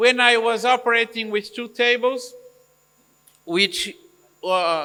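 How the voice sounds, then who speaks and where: In a raised, projected voice with a bright, sharp tone, a man speaks at a very slow pace with ordinary pitch variation. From Brazil. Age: 60s. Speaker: eye surgeon. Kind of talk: Q&A interview. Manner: halting.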